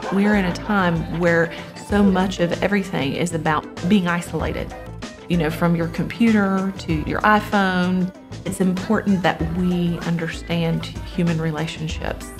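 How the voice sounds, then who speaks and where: Over music in the background, a woman with a Memphis accent speaks fairly slowly at a fairly low pitch, her intonation fairly even. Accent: Southern US (Memphis). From Memphis, Tennessee. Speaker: actor, producer, theatre teacher. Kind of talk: interview answer.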